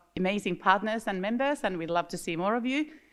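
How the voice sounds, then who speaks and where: Speaking very fast in a Finnish accent, the voice moves with lively intonation. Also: woman. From Finland. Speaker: industry association director. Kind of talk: conference opening remarks. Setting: stage with audience. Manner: animated.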